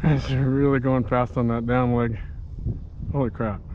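A man at medium pitch, speaking at a fairly slow pace with little pitch movement.

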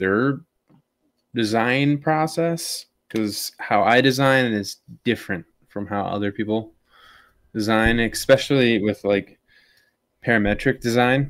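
A man with an American accent at a moderate pace, with ordinary pitch variation and long, frequent pauses against a quiet background. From US Midwest. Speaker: military service member and drone hobbyist; guest. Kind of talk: casual chat. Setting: video call. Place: home room.

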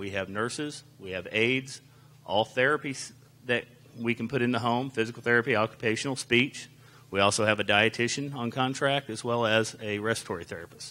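A bright, sharp tone at a fairly quick pace. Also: man, fairly even intonation. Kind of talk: public presentation. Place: hall. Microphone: handheld.

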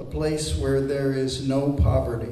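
There is audible room echo as a man talks at a very slow pace. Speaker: poet reading. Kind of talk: poetry reading. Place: hall. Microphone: camera far.

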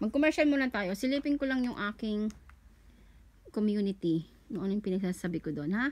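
Speaking at a fairly quick pace, a woman keeps a medium pitch that swings very widely. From Philippines. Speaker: online content creator running a giveaway. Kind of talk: casual livestream-style giveaway announcement. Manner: casual, chatty, joking, self-correcting. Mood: cheerful, thankful, festive. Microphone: phone near.

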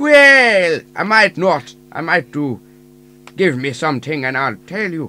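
Using a put-on character voice, a man speaks high in pitch at a fairly slow pace. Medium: audio drama.

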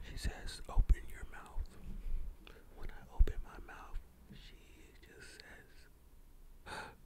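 A man whispers at a very slow pace. His loudness swings a lot. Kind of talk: ASMR whispered ramble talking to camera. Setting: studio condenser mic at home. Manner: conversational storytelling.

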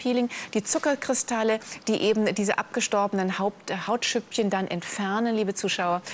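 A woman talks at a moderate pace with a fairly high pitch. There is light noise in the background. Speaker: teleshopping presenter. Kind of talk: sales pitch. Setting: live TV shopping studio. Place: studio. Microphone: lapel.

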